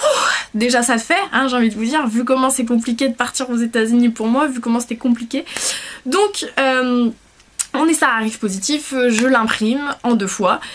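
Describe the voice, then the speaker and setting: A woman's high-pitched voice with ordinary pitch variation, set against noticeable background noise. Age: 20s. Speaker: vlogger. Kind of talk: casual chat. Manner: fast; hesitant.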